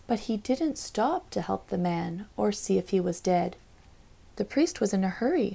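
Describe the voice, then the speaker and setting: A woman's medium-pitched voice, gentle, somewhat breathy and dark and mellow in tone, with lively intonation at a moderate pace. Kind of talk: literary audiobook reading of a rhyming children's Bible story. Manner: gentle, storytelling cadence with sing-song rhyme rhythm; warm, measured, read aloud for children.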